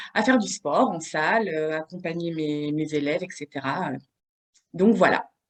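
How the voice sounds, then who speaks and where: A woman with a fairly low pitch talks at a fairly slow pace. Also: ordinary pitch variation. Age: 30s. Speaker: bodybuilding competitor and fitness coach. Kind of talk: podcast interview. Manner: hesitant, many fillers.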